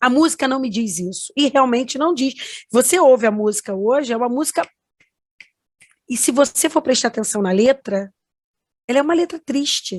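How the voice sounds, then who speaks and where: A woman with a high pitch and lively intonation speaks at a moderate pace with long, frequent pauses. The sound is dry and close with no echo, against a quiet background. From Rio de Janeiro, Brazil. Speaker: music producer, granddaughter of a famous singer. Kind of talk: interview testimony. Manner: halting, many fillers.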